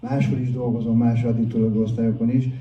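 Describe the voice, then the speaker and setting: A man speaks in a monotone, flat intonation and sounds somewhat breathy. There is audible room echo. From Hungary, Budapest. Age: 60s. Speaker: addiction counsellor and recovery speaker. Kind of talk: public talk, personal testimony.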